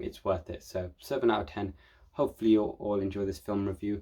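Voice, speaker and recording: This man's voice sits fairly low in pitch and has a dark, mellow tone. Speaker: film reviewer. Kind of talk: casual film review monologue. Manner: fast.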